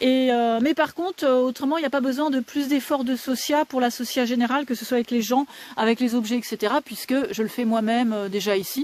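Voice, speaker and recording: A woman at a high pitch and a fairly quick pace, with noticeable background noise. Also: ordinary pitch variation, very even loudness. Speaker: dog breeder. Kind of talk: live stream chat. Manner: fast.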